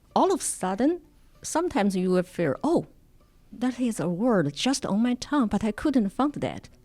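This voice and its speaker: With music in the background, a speaker in a Chinese accent talks at a moderate pace, keeping the loudness very even while the pitch swings very widely. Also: woman, fairly high pitch for a woman. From China. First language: Mandarin Chinese. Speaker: immigrant documentary filmmaker and Mandarin teacher. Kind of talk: podcast interview. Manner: halting.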